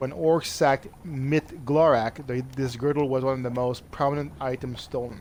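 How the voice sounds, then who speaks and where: Barely pausing, a man with a Quebec accent speaks at medium pitch with fairly even intonation. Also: moderate pace. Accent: French Canadian accent in English. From French Canada. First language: French. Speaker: video game streamer. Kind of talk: let's play commentary, reading game text aloud.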